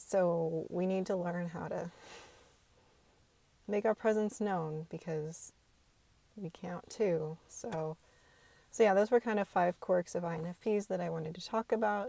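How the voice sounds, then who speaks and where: Quiet, fairly slow speech from a woman at medium pitch, dark and mellow in tone, with big swings in loudness, long, frequent pauses, and a dry, close sound with no echo. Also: ordinary pitch variation. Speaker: video blogger. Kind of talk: casual monologue to camera. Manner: hesitant, many filler ums.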